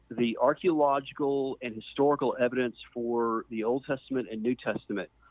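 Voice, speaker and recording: A man speaks in a normal speaking voice with an American accent, keeping a medium pitch, a moderate pace and fairly even intonation. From US South, Mississippi. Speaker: archaeologist. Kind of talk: interview.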